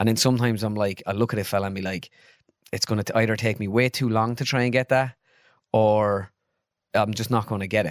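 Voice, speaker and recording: A man's fairly low voice with an Irish accent, very fast yet broken by long, frequent pauses, fairly even in intonation, dry and close with no echo, on a very clean recording with a silent background. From Ireland (midlands). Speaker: comedian and sketch video maker. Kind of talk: casual chat. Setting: studio.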